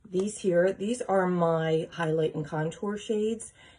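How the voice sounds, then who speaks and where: A woman whispers at a very slow pace. Her voice is somewhat breathy. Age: 50s. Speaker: makeup seller. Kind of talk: tutorial. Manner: whispering.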